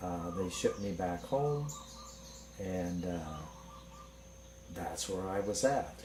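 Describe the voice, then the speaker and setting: A man with a very deep, low voice talks at a very slow pace, with long, frequent pauses and lively intonation. Audible room echo and noticeable background noise are present. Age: 60s. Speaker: patient giving testimonial. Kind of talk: testimony.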